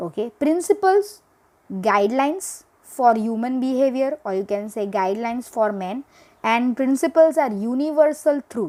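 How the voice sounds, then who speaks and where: Recorded very cleanly against a silent background, a woman's high voice has a dark, mellow tone and very wide pitch swings. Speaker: teacher. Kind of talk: lecture. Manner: slow.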